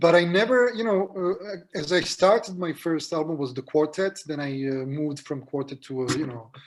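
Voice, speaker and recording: Over noticeable background noise, a man with a non-native accent speaks at a moderate pace with a fairly high pitch and lively intonation. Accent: non-native, own accent when speaking. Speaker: jazz pianist. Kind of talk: interview. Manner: halting, many fillers and repetitions.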